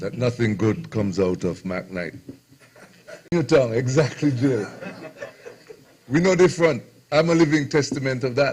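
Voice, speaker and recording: Long, frequent pauses break up a man's speech, and his intonation is lively. Background noise is noticeable. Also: medium pitch for a man, moderate pace. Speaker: radio host. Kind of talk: speech at book launch.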